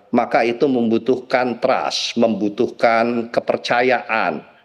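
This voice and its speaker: Against a quiet background, a man speaks at a fairly slow pace with vocal fry. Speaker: party politician; guest. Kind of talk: TV talk show discussion. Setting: remote video link. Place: home room. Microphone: video call.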